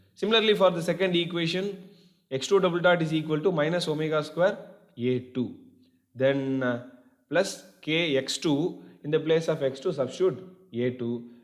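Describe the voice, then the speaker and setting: Amid audible room echo, a man with a fairly high pitch speaks at a moderate pace, with ordinary pitch variation and long, frequent pauses. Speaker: engineering lecturer. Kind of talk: lecture.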